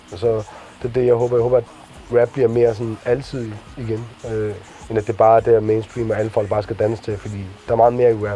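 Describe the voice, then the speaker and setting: Over noticeable background noise, a man of medium pitch speaks at a very fast pace in a monotone, flat intonation, with long, frequent pauses. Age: 20s. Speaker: rapper. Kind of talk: interview.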